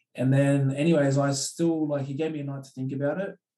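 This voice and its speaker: Speaking at a moderate pace with a Sydney accent, the man has a medium-pitched voice with a dark, mellow tone. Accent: Australian, western Sydney. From Australia (Penrith, western Sydney). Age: 20s. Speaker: professional rugby league player. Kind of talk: casual interview chat. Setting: podcast recording.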